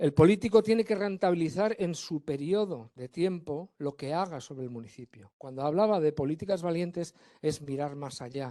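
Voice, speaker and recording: Against a quiet background, a man with a fairly high voice and a dark, mellow tone talks fairly quickly with ordinary pitch variation, the sound dry and close with no echo. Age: 60s. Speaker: forest engineer, panelist. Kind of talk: round-table panel talk. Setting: conference panel with audience. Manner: animated, conversational.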